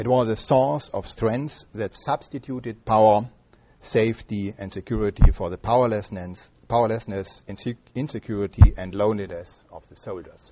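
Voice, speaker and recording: Speaking in a German accent at a moderate pace, the voice shows ordinary pitch variation and big swings in loudness. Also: man, fairly low pitch for a man. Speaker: history professor. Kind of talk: lecture. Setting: stage with audience. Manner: halting.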